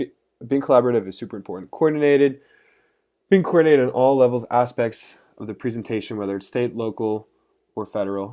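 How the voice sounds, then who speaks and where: A very fast man's voice of medium pitch, dark and mellow in tone, with ordinary pitch variation, in a very clean recording over a silent background. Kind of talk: class presentation. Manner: stuttering.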